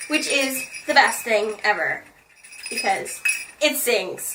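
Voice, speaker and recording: At a very slow pace and with long, frequent pauses, a woman speaks amid noticeable background noise and audible room echo. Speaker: video blogger. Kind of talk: casual chat. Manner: animated.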